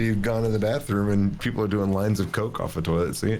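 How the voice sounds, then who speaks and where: With a Southern US accent, a man speaks at a fairly low pitch with ordinary pitch variation, amid audible room echo and noticeable background noise. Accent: Southern US drawl. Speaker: podcast co-host. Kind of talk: casual chat.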